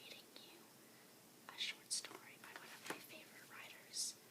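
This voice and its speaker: A woman whispers at a moderate pace with long, frequent pauses and big swings in loudness over noticeable background noise. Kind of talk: casual talk to listener. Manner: soft-spoken.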